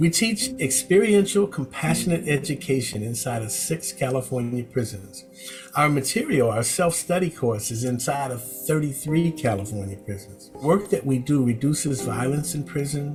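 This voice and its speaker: A man with an American accent at a moderate pace, his pitch swinging very widely, with music in the background. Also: medium pitch for a man. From Chicago. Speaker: reverend, prison education facilitator. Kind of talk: personal testimony to camera.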